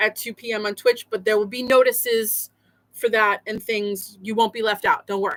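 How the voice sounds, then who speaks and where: In a raised, projected voice with a bright, sharp tone, a woman speaks at a moderate pace. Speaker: quilt history streamer. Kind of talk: casual live stream chat. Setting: live stream with screen share. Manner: loud.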